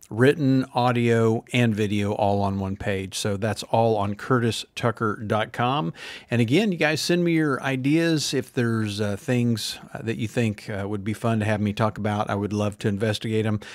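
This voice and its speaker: With hardly any pauses, a man talks at a moderate pace and ordinary pitch variation, the sound dry with no echo and the background quiet. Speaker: podcast host. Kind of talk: casual podcast chat. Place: studio. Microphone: studio mic.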